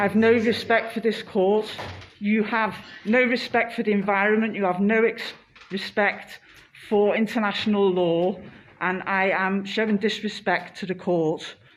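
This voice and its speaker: A woman speaks at a moderate pace and medium pitch. Her intonation is fairly even, with noticeable background noise behind her. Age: 50s. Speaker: climate activist. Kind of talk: protest statement in court, live stream. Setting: courtroom, self-recorded live stream.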